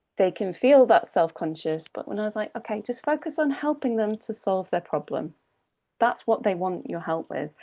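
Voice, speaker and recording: Over a quiet background, a woman with a British accent speaks at a moderate pace in a dark, mellow tone. Her fairly high pitch moves in very wide swings. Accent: regional British. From United Kingdom. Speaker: English speaking coach. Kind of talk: online workshop Q&A.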